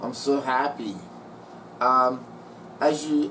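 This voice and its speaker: Fairly high pitch from a man, with audible room echo and noticeable background noise. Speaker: model train hobbyist YouTuber. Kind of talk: casual video narration.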